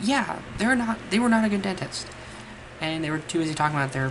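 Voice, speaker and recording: A woman speaks fairly quickly with lively intonation while noticeable background noise plays behind her. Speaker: mental health vlogger. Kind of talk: casual talk to camera. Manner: stumbles over words at times.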